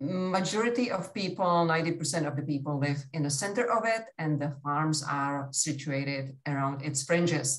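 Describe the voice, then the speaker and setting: Moving at a moderate pace, a woman talks with a non-native accent. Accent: foreign. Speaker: agricultural educator. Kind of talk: workshop presentation.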